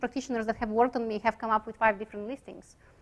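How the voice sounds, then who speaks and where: A woman speaks in a Bulgarian accent with a bright, sharp tone. The recording is very clean, with a silent background. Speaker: chiropractic radiologist. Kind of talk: lecture. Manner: hesitant, many fillers.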